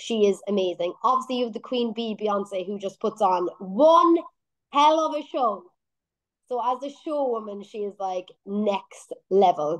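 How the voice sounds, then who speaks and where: Lively intonation marks this voice, which speaks at a fairly slow pace with an Irish accent. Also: woman, fairly high pitch for a woman. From Ireland. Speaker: singer-songwriter. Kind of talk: radio interview.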